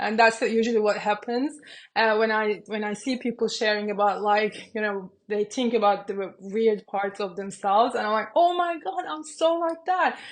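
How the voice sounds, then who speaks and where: Fairly high in pitch, a woman with a Turkish accent talks at a moderate pace with lively intonation. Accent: Turkish-accented English, self-described. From Turkey. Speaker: business coach and YouTuber. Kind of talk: casual talk to camera. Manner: hesitant, many fillers.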